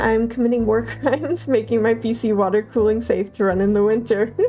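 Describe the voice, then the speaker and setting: Background noise is clearly audible as a woman speaks very fast. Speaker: vtuber streamer. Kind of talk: casual chat. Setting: live stream. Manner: halting.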